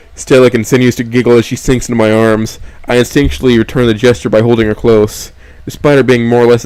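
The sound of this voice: A reading voice with nothing forced in it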